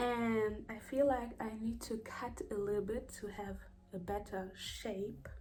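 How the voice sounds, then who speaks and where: Fairly slow speech with fairly even intonation, audible room echo and noticeable background noise. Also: woman, fairly high pitch for a woman. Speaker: hair care vlogger. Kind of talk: tutorial vlog. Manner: casual, halting at times.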